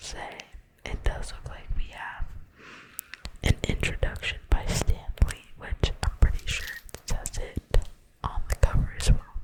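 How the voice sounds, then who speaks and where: Someone whispers in a relaxed tone. The pace is fairly slow. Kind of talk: ASMR book reading, casual talk to camera. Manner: relaxed, chatty.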